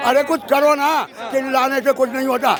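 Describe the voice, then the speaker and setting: Crowd noise fills the background. A man talks in an animated tone at an extremely high pitch. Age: 60s. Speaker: member of the public interviewed. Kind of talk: street interview.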